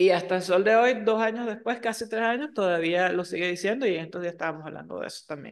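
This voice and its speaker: The speaker talks very fast with hardly any pauses, ordinary pitch variation and big swings in loudness against a quiet background. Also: woman, medium pitch for a woman. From Venezuela, Margarita Island. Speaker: podcast co-host. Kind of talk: casual chat.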